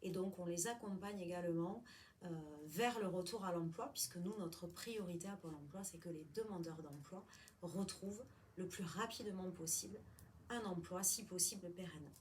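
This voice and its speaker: Medium pitch from a woman at a moderate pace, ordinary pitch variation, audible room echo. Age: 40s. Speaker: job counselor. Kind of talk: interview.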